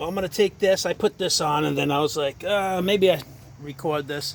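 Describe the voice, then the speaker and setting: Against noticeable background noise, a man with a high-pitched voice speaks at a fairly slow pace with lively intonation. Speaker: pressure washing business owner. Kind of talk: tutorial. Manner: casual, repetitive.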